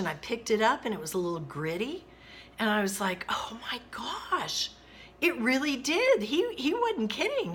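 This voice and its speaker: Amid noticeable background noise, a woman with a high pitch speaks in an animated tone, her pitch swinging very widely. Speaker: retired teacher. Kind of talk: personal storytelling to camera. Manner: lively, animated.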